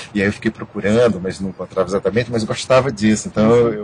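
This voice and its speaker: The pitch of this man's voice is fairly low. He moves along at a fairly quick pace. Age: 60s. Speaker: theatre director and actor. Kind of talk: interview. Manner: halting, many repetitions.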